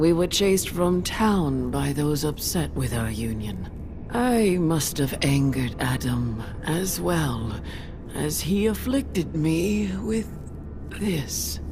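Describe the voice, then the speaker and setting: Someone performs a put-on character voice at a fairly slow pace over loud background noise. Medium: video game. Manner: slow, solemn.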